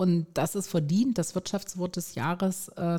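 Very slow female speech at a medium pitch. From Stuttgart, Swabia, southwest Germany. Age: 50s. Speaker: resilience trainer and coach. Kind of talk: interview.

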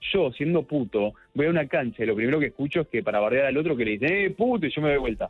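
A man's fairly high voice at a very fast pace, with lively intonation and very even loudness. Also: hardly any pauses. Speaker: LGBT and HIV activist. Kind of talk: casual chat.

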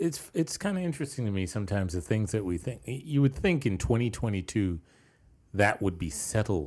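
On a very clean recording with a silent background, a man with an American accent speaks at a fairly quick pace in a fairly low, somewhat breathy voice with very wide pitch swings. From New York. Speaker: podcast co-host. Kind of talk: casual chat.

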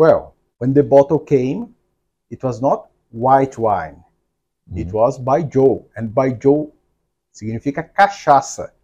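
A man with a Portuguese accent, medium pitch and a dark, mellow tone, lively intonation, big swings in loudness, a fairly slow pace and long, frequent pauses. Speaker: podcast host and entrepreneur. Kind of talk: interview. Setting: office.

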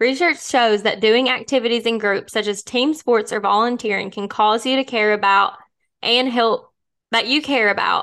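In an American accent, a woman with a bright, sharp tone speaks at a fairly high pitch and a moderate pace against a quiet background. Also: ordinary pitch variation. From US small town. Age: 20s. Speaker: podcast co-host. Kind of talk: reading aloud; casual chat.

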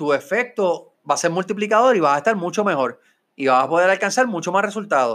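A man's high voice with very wide pitch swings at a fairly quick pace, on a very clean recording with a silent background. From Puerto Rico (Mayagüez). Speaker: podcast host, business consultant and real estate broker. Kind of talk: motivational talk. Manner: animated.

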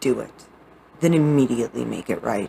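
A woman's very deep, low voice with a warm tone at a moderate pace. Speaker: audiobook author reading own book. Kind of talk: reading aloud own poetry and prose, dramatic narration. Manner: dramatic, emotive, intense, with theatrical pauses; earnest, warm, sincere.

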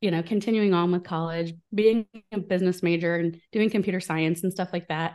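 A woman with an American accent, medium pitch and ordinary pitch variation, against a quiet background. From US Midwest, small town in Illinois. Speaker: business coach. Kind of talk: interview.

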